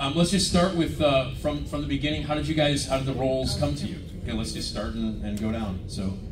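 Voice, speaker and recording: A man talks at a fairly quick pace with hardly any pauses and very wide pitch swings. The room echo is audible, and background noise is noticeable. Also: medium pitch for a man. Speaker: convention panel moderator. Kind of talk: live panel Q&A. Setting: stage with audience. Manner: hesitant, many fillers; fast.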